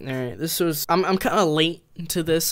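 The recording is very clean, with a silent background. A man speaks at a fairly quick pace, fairly high in pitch with ordinary variation.

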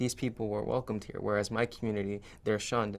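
This is a man speaking. His intonation is monotone and flat. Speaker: interviewee. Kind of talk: interview answer. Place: studio.

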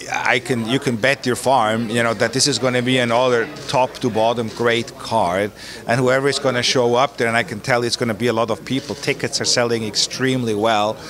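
Speaking at a fairly quick pace, a man keeps a monotone, flat intonation and very even loudness over noticeable background noise. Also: dry sound with no echo. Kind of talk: interview answer. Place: gym. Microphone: handheld.

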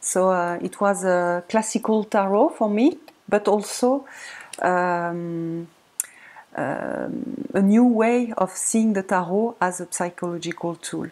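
A woman with a French accent at medium pitch, very slow pace, and ordinary pitch variation. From France. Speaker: tarot video creator. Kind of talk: casual tutorial-style show-and-tell. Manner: halting, many fillers. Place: home room. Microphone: webcam.

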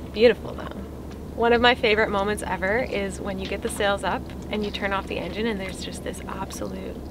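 A woman talks at a very fast pace in a dry sound with no echo, with noticeable background noise behind her. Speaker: sailing vlogger. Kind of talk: casual vlog chat. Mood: cheerful, laughing. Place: boat. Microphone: camera far.

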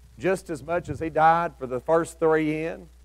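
Against a quiet background, a man with a Southern US accent speaks at a fairly slow pace. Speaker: preacher. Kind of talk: sermon. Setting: church with congregation. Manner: informal storytelling, imagining biblical characters' thoughts, with folksy asides; earnest, exhorting, rising to an altar-call invitation. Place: church.

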